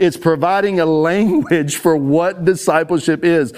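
This man has a high-pitched voice and a Texan accent. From Texas. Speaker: ministry leader. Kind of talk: conference talk. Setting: stage with audience.

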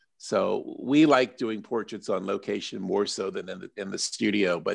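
A man with an unremarkable speaking voice and an American accent, at medium pitch and moderate pace, over a quiet background. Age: 60s. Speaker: portrait photographer. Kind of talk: casual interview chat.

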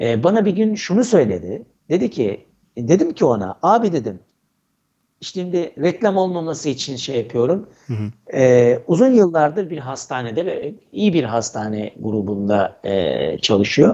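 A man talks at a fairly high pitch with a dark, mellow tone. His delivery is fairly slow, with very wide pitch swings. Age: 40s. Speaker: HR professional and author. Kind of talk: casual interview. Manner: hesitant, many fillers. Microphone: sounds very good.

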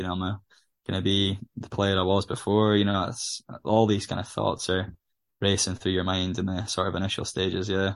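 In a northeast Scottish accent, a man talks at a fairly quick pace with monotone, flat intonation. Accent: Scottish (north-east). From Scotland, Aberdeen. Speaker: footballer. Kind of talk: interview.

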